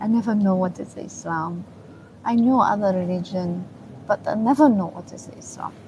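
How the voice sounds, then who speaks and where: With a Chinese accent, a woman talks at a fairly slow pace in a somewhat breathy, dark, mellow voice with fairly even intonation. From China. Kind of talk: interview testimony. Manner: halting.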